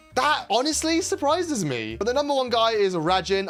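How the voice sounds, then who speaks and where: A man with a British accent talks over noticeable background noise. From UK. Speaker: gaming YouTuber. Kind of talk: casual gameplay commentary.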